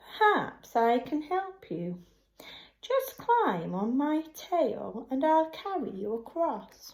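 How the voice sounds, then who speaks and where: A woman uses a put-on character voice, pitched high and swinging very widely up and down at a very slow pace. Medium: read story. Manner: smooth, wheedling.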